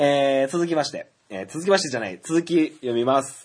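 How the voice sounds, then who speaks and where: A man talking at a moderate pace. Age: 30s. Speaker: podcast host. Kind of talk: solo casual talk. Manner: frequent filler hesitations.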